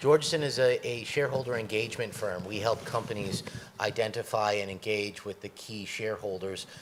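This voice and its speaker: A man with a New York accent at a fairly quick pace, with fairly even intonation. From US, New York. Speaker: corporate executive, panelist. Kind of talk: panel discussion.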